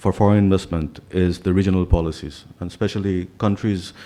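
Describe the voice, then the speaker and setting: This man has a very deep, low voice with a dark, mellow tone. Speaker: business leader panelist. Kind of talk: panel presentation.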